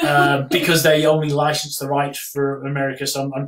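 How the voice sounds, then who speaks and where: With an English accent, the speaker talks at a moderate pace in a monotone, flat intonation. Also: man. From England. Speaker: travel memoir author. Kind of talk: casual chat. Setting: live stream.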